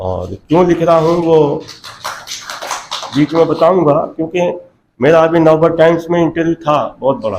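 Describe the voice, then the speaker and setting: A man's high-pitched voice with fairly even intonation and long, frequent pauses. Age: 70s. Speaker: writer. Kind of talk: speech.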